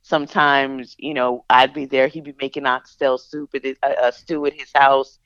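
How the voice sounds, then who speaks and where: In a Philadelphia accent, a woman speaks at a very deep, low pitch with monotone, flat intonation and big swings in loudness, at a moderate pace with hardly any pauses. The sound is dry and close with no echo, over a quiet background. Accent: Philadelphia-area American English. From suburbs of Philadelphia. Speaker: singer-songwriter and radio host. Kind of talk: casual interview.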